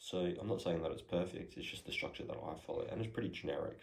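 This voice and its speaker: Soft-spoken and very fast, the speech carries audible room echo. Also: man. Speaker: podcast host, entrepreneur. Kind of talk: casual how-to talk. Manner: soft-spoken, quiet; hesitant, many fillers.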